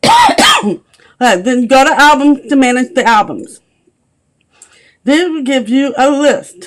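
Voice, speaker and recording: A woman speaks in a high voice at a very slow pace. Her intonation is lively. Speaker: clothing sales consultant. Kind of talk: screen-recorded software tutorial. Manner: casual, conversational.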